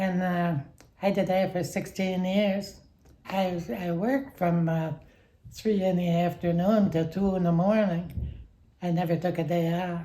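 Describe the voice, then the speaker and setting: A woman's fairly low-pitched, somewhat breathy voice with a dark, mellow tone, at a fairly slow pace. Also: fairly even intonation. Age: 80s+. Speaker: retired factory worker. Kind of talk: interview answer.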